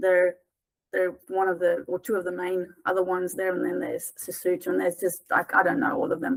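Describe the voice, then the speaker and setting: A woman speaks with a South African accent at a fairly quick pace. Her pitch is medium with ordinary variation. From South Africa, small town. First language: Afrikaans. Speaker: tutoring business founder. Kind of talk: interview conversation. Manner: hesitant, many fillers and repeats.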